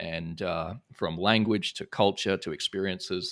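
This very clean recording has a completely silent background. In it, a man talks with an Australian accent. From Brisbane, Australia. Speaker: entrepreneur and CEO. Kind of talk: interview conversation.

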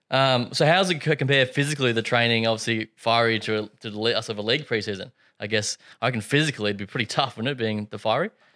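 Very fast speech from a man with an Australian accent, medium-pitched and bright, sharp in tone, with ordinary pitch variation on a very clean recording with a silent background. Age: 20s. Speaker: podcast host. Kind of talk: interview.

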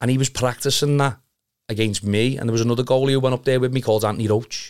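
Speaking in a monotone with flat intonation, a man with a Liverpool accent keeps a medium pitch in a very clean recording with a silent background. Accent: Scouse. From Liverpool (Kirkby), England. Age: 30s. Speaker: amateur football goalkeeper. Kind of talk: casual chat.

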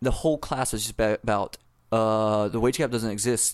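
This man talks at a medium pitch with ordinary pitch variation on a very clean recording with a silent background. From US South, South Carolina. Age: 30s. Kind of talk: casual chat. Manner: halting.

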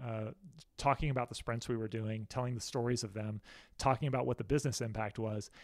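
On a very clean recording with a silent background, a man with an American accent speaks very fast in fairly even intonation. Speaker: author and design sprint inventor. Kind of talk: casual interview. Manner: halting, incomplete sentences.

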